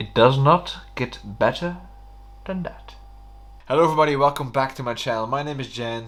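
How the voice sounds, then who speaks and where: A man with a Flemish accent at a moderate pace, fairly high pitch, ordinary pitch variation, big swings in loudness and long, frequent pauses. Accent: Flemish Dutch accent in English. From Belgium (Flanders). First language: Dutch. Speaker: YouTuber. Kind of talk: vlog monologue.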